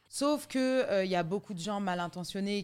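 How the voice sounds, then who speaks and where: A woman's animated tone at a moderate pace. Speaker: singer and fitness/life coach. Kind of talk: casual interview chat. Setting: hotel in Paris. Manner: animated, big laugh.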